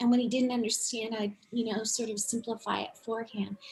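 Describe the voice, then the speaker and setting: The woman's voice sits at a fairly high pitch. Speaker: unschooling parent and traveler. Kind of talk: casual interview. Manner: animated.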